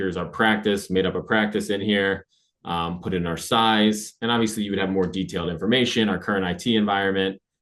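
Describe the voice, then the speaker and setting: A man's fairly low, monotone, flat delivery at a fairly quick pace with hardly any pauses. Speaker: AI consultant presenter. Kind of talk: webinar presentation. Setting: webinar. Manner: fast.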